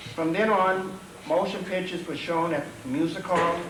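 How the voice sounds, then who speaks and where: Amid noticeable background noise and audible room echo, a man speaks slowly-ish, at a fairly slow pace, in a high voice. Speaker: local historian. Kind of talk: public talk. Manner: soft-spoken. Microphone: too quiet at first.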